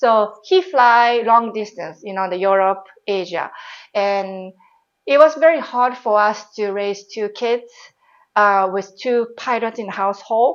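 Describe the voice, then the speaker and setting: A woman with a Japanese accent speaks at a fairly slow pace in a fairly high voice. Her pitch varies in an ordinary way. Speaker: former airline pilot and baker. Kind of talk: interview. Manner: casual, with many fillers.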